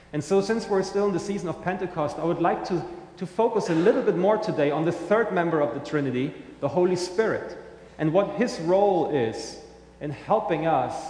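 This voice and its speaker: Moderate pace and ordinary pitch variation in a German accent, with noticeable background noise. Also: man. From Germany. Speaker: pastor. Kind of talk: sermon. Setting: church.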